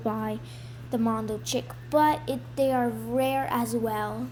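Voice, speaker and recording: There is audible room echo as a woman speaks at a fairly slow pace. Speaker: gaming YouTuber. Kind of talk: gameplay tutorial. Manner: quiet.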